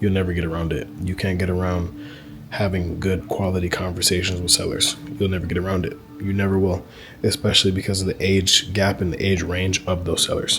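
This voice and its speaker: A quiet man's voice, very deep and low, with fairly even intonation and a fairly quick pace, over music in the background. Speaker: land investor and business coach. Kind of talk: casual talking-head video. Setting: in a public spot. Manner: kept quiet, low volume; casual, filler-heavy.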